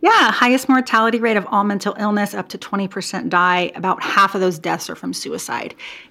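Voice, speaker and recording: A woman speaks at a fairly quick pace with an American accent, in a plain, everyday voice. She barely pauses, and her pitch varies in an ordinary way. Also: medium pitch for a woman. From US Pacific Northwest, Portland, Oregon. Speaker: boutique owner and clothing designer, former physical therapist. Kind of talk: interview conversation.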